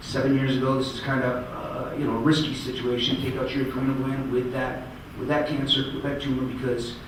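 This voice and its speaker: A man rattles along at a very fast pace, with audible room echo and noticeable background noise around him. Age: 40s. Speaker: cancer survivor speaker. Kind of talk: speech. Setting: stage with audience.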